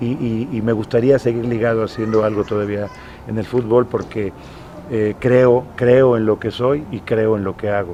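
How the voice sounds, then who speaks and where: Noticeable background noise sits behind a man speaking at a moderate pace. His pitch is medium, and his intonation stays fairly even. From Mexico, Morelos. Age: 60s. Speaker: retired football goalkeeper. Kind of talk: interview. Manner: halting.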